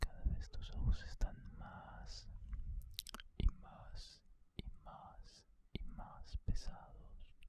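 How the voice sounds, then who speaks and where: Whispering at a very slow pace, a man leaves long, frequent pauses, with big swings in loudness. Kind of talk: ASMR relaxation session for sleep. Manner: whispered, soft-spoken, slow.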